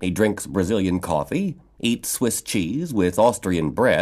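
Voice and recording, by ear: The speaker is reading aloud in a natural voice. The text is read through in that manner.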